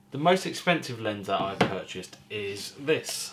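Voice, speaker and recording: A man talks over noticeable background noise. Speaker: hobby photographer vlogger. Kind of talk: casual vlog chat. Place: home room.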